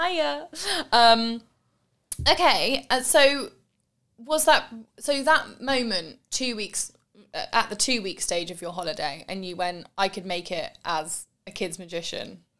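A woman with a bright, sharp tone and fairly high pitch speaks at a fairly slow pace, with very wide pitch swings and big swings in loudness. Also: very clean recording, silent background. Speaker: podcast host. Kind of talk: casual interview chat. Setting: home studio.

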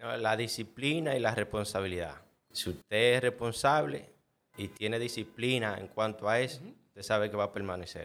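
At a moderate pace, a man of medium pitch speaks with ordinary pitch variation and big swings in loudness. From Dominican Republic, El Cercado. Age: 30s. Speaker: head chef. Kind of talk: interview.

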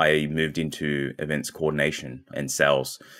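With an Australian accent, a man speaks at a very deep, low pitch with vocal fry. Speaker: marketing agency founder. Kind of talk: interview.

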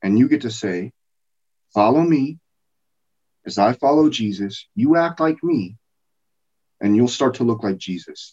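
A man with an American accent, medium pitch and a dark, mellow tone, at a fairly slow pace with lively intonation and long, frequent pauses. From US, small-town Colorado. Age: 40s. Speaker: preacher. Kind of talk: sermon.

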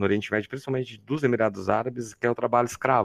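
A man speaks at a medium pitch in a normal speaking voice. His pitch varies in an ordinary way. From Campinas, interior of São Paulo, Brazil. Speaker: chemistry professor. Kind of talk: casual interview.

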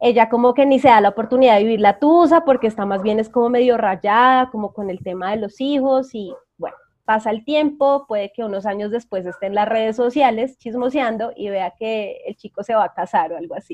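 An ordinary speaking voice, a woman's, fairly high and at a fairly quick pace, with hardly any pauses, ordinary pitch variation and big swings in loudness. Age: 20s. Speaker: psychologist and energy coach. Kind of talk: interview.

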